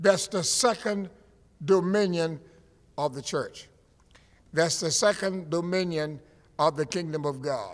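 With an American accent and an animated tone, a man speaks at a fairly slow pace with long, frequent pauses, a high pitch and ordinary pitch variation. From US Florida. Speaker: preacher. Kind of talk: sermon. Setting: church. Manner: animated, emphatic pulpit delivery with repetition. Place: church. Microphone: podium.

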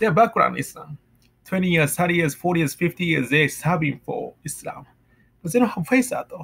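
Speaking at a moderate pace, a man with a Japanese accent has a high pitch. His intonation is lively. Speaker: vlogger. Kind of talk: personal monologue; casual vlog chat on faith. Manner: halting. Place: home room. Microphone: webcam.

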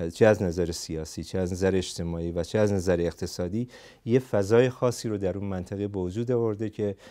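A man's very deep, low voice, dark and mellow in tone, at a fairly quick pace with fairly even intonation against a quiet background. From Iranian Kurdistan (Saqqez); Iranian Kurdistan. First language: Kurdish (speaking Persian). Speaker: psychotherapist and political activist; interview guest. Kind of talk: interview; interview answer. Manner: halting. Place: studio. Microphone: lapel.

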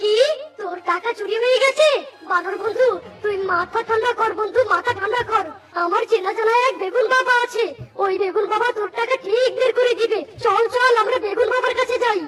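An extremely high-pitched cartoonish character voice speaks at a moderate pace. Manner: casual, teasing.

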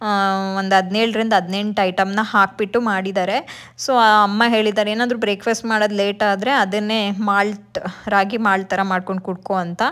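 A woman's fairly bright voice at medium pitch, moderate pace and few pauses, with little pitch movement on a very clean recording over a silent background.

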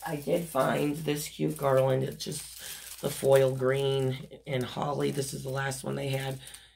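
In a room with audible echo, a woman speaks at a fairly slow pace in an extremely low pitch, raspy with vocal fry, a slightly mellow tone and little pitch movement.

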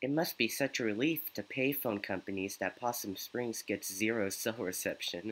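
What is heard is plain reading aloud.

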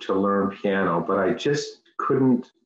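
A man's voice with a quiet background and audible room echo. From Newfoundland, Canada. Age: 50s. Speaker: piano student; interviewee. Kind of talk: interview. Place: home room. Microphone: video call.

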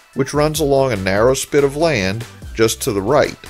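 Lively intonation from a man, with music in the background. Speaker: travel channel narrator. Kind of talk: documentary narration.

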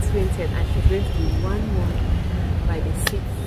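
Loud background noise sits under a woman's voice. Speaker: vlogger host. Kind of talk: casual vlog chat. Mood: relaxed, full after meal. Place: garden.

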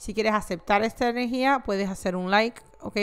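Ordinary pitch variation from a female speaker. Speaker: tarot reader. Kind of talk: tarot reading monologue, casual direct address. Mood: warm, friendly.

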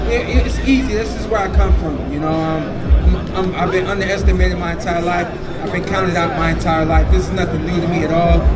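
Music sounds behind the speaker. A man delivers his words at a fairly quick clip. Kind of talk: interview answer. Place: stage. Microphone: pa.

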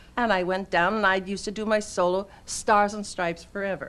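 An American-accented woman talks at a moderate pace with a medium pitch. Her tone is fairly bright and her intonation fairly even.

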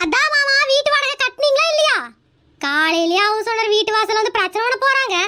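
Doing a cartoonish character voice, a woman speaks at a moderate pace and very even loudness, her extremely high pitch swinging very widely. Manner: earnest, questioning.

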